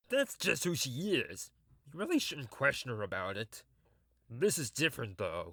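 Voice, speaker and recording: A man uses a put-on character voice with a fairly high pitch, speaking at a moderate pace. He leaves long, frequent pauses in a very clean recording with a silent background. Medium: audio drama. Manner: awkward, warm.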